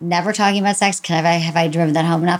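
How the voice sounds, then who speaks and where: A woman with an American accent has an unremarkable speaking voice, fairly low in pitch with ordinary pitch variation. She talks at a fairly quick pace. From Michigan. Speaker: sex therapist and podcast host. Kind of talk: casual interview chat.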